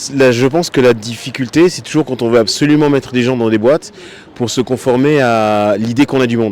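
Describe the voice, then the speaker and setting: Noticeable background noise accompanies a man of medium pitch speaking at a fairly quick pace with ordinary pitch variation. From France. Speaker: passer-by interviewee. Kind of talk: street interview.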